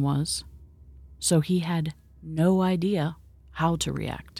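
A calm, dramatic tone over music in the background. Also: woman. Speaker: podcast host and storyteller. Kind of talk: scripted-style spooky storytelling, occult podcast narration; true-crime/horror narration, hushed and suspenseful retelling of an eerie encounter. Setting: studio podcast recording. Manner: measured, dramatic and suspenseful, building dread as the story unfolds; calm, mystical, storytelling cadence.

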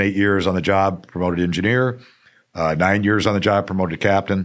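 In an American accent, a man talks at a fairly low pitch with fairly even intonation in a plain, everyday voice. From Arizona. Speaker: fire chief. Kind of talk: interview.

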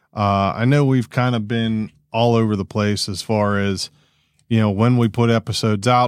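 A normal speaking voice talks at a medium tempo. There is total silence behind it in a very clean recording. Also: man. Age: 40s. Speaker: podcast host, amateur racer. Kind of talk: casual chat. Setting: home basement.

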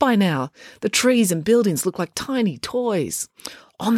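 A quiet background lies under plain reading aloud.

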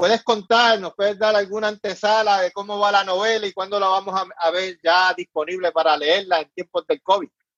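A man talks at a moderate pace with hardly any pauses, his pitch high and his intonation fairly even. The sound is dry and close, with no echo. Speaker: online show host. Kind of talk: casual interview.

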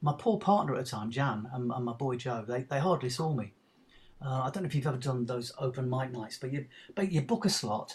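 Somewhat breathy at medium pitch, a man talks at a fairly quick pace with lively intonation. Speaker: actor. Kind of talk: casual interview chat.

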